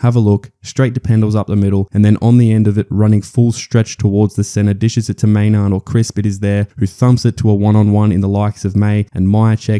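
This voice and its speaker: An Australian-accented man at a fairly quick pace with hardly any pauses, fairly low in pitch with a dark, mellow tone, monotone and flat, in a dry, close sound with no echo. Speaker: footy analysis commentator. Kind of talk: sports analysis voice-over. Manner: casual, humorous.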